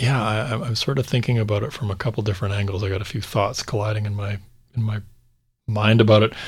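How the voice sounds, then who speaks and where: Speaking at a fairly quick pace with long, frequent pauses, a man's fairly low, somewhat breathy voice keeps a fairly even intonation on a very clean recording with a silent background. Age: 40s. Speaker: real estate and finance podcast host, former car business owner. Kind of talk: casual chat.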